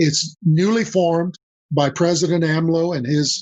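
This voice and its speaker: Speaking in a Spanish accent, a man with a fairly high pitch keeps his intonation fairly even. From Mexico, then US. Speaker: business consultant. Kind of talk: podcast interview.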